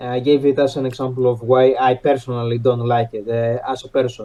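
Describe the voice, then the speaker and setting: Here a man speaks with a non-native accent. His pitch sits in the medium range. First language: not English. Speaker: podcast panelist. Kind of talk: debate. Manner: halting, many fillers.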